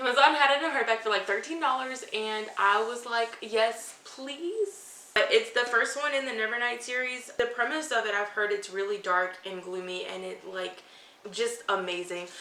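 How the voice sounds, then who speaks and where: In an animated tone, a woman talks at a moderate pace and fairly high pitch with ordinary pitch variation, audible room echo and noticeable background noise. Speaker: book youtuber. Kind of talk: casual unboxing vlog.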